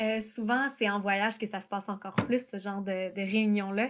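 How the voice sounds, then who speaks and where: With a Quebec accent, a woman speaks at a moderate pace with fairly even intonation on a very clean recording with a silent background. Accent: Québécois French. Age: 30s. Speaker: travel writer and entrepreneur. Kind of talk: interview.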